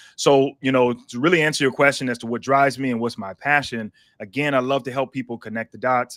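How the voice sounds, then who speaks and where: Dry and close with no echo, on a very clean recording with a silent background, a man speaks at a medium pitch in an unremarkable speaking voice. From South Carolina. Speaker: pastor and licensed counselor. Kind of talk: interview. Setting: live stream.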